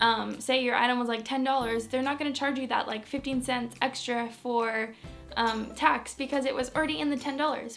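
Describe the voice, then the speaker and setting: A high-pitched woman with an American accent, fairly quick and upbeat, music playing in the background. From Manchester, England; later USA. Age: young. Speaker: beauty and lifestyle vlogger. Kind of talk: casual talk to camera.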